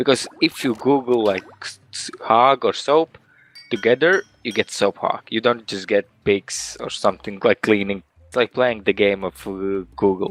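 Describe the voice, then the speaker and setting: A man with a slight Russian accent and ordinary pitch variation, in a dry, close sound with no echo. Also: medium pitch for a man, moderate pace, big swings in loudness. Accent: sounds a bit Russian. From Latvia. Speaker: game studio marketing person. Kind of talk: interview.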